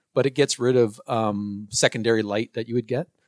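A man with a plain, everyday voice speaks at a medium pitch and a fairly quick pace. The sound is dry and close, with no echo. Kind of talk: casual chat. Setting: podcast interview.

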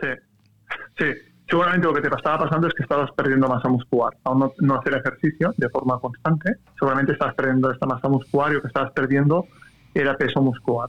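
A man's very fast, fairly high-pitched delivery with fairly even intonation and very even loudness, in a dry, close sound with no echo. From Catalonia, Spain. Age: 30s. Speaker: cycling coach. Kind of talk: interview conversation.

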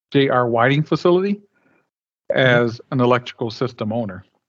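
Recorded with a dry, close sound with no echo and a quiet background, a man with a Midwestern American accent speaks at medium pitch and a moderate pace. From Flint, Michigan. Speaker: energy company executive. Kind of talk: casual interview.

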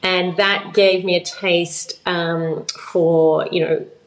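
A woman speaks with an Australian accent at a medium pitch. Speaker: blockchain policy expert. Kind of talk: interview.

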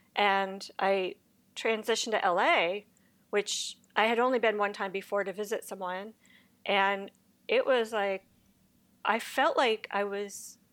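A woman in an American accent, fairly high in pitch and fairly even in intonation, at a moderate pace on a very clean recording with a silent background. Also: long, frequent pauses. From US Northeast, Connecticut. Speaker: VFX recruiter. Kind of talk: interview.

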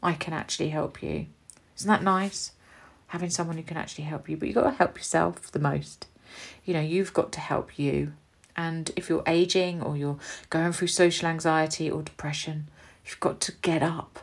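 A woman's fairly low-pitched voice with an English accent, fairly even intonation and a moderate pace. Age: 40s. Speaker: beauty business owner and podcast host. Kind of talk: casual monologue.

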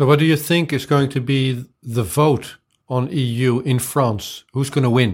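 A man speaks at a fairly slow pace, somewhat breathy, at medium pitch with ordinary pitch variation and very even loudness. The recording is very clean with a silent background. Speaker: interviewer and pirate party member. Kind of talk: interview.

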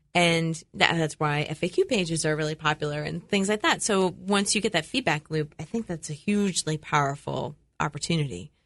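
A woman's fairly low-pitched voice at a fairly quick pace, with ordinary pitch variation and hardly any pauses, over a quiet background. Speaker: marketing show host. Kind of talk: radio interview. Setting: studio. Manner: animated.

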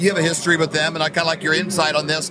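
A man is talking. Noticeable background noise runs underneath. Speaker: talk show host. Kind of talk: casual interview.

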